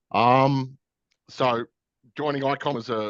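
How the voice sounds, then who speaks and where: Over a quiet background, a man with an Australian accent comes through in a dry, close sound with no echo. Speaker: SAP solution architect. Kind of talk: webinar presentation. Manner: halting with many repetitions.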